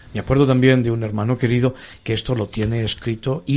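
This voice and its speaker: Somewhat breathy, a man talks at a medium pitch. He keeps a fairly quick pace. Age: 50s. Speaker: pastor and radio host. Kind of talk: religious radio talk show.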